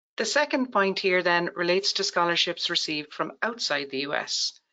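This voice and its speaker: Delivery comes at a fairly quick pace. The voice carries an Irish accent. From Ireland. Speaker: tax account presenter. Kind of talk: webinar presentation.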